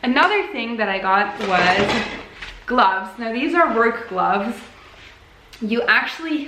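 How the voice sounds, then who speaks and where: Amid noticeable background noise and audible room echo, a woman speaks fairly slowly in a fairly high voice with lively intonation. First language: Dutch. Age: 20s. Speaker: crafts vlogger. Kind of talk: casual chat. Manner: casual, with hesitations.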